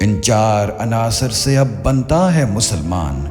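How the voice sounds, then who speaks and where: Music in the background beneath a man's voice, its pitch swinging very widely. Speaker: voice actor. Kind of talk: poetry reading. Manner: soulful, emotional.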